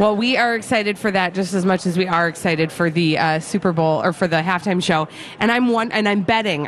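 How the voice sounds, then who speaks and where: Over noticeable background noise, a woman with an American accent talks at a moderate pace. Her pitch is medium, with ordinary variation. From Minnesota. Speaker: radio host. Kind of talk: casual chat, radio banter.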